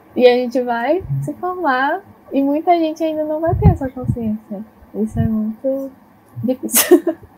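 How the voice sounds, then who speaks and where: A woman speaks at a fairly slow pace in a high pitch with ordinary pitch variation. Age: young. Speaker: psychology student, podcast host. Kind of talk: interview.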